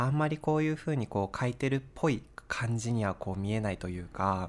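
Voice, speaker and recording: A man's ordinary speaking voice, fairly low in pitch, at a moderate pace with ordinary pitch variation. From Japan, Sapporo (Hokkaido). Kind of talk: casual chat.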